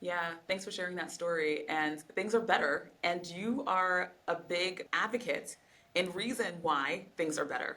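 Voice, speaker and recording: A woman speaks in a normal speaking voice with lively intonation. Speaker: veterinarian and podcast host. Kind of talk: interview questions.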